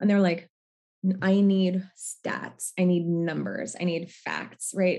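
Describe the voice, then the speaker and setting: A woman speaks with an American accent in a normal speaking voice. Her pitch is fairly low and her pace is moderate. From US Northwest. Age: 30s. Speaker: therapist and nonprofit leader. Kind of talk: interview.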